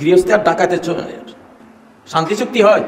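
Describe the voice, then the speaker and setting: A man's passionate tone over noticeable background noise. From Bangladesh. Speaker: Islamic scholar delivering a sermon. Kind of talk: Islamic sermon (waz) to a crowd, political-religious commentary. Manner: forceful, passionate, rhetorical.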